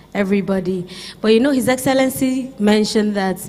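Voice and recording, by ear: With ordinary pitch variation, a woman speaks at a medium pitch.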